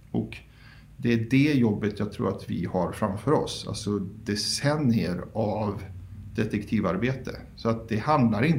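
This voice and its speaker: A man with vocal fry and a fairly low pitch, at a fairly slow pace, with audible room echo. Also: ordinary pitch variation. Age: 30s. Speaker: founder of a public document archive group. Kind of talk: interview.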